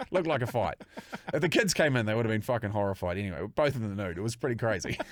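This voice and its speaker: An animated man with an Australian accent, medium in pitch, at a very fast pace, on a very clean recording with a silent background. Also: lively intonation. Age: 40s. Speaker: podcast host. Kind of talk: casual chat.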